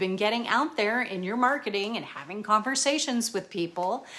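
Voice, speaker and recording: Her tone animated, a woman speaks at a fairly high pitch with very wide pitch swings. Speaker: personal chef and business coach. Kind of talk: tutorial.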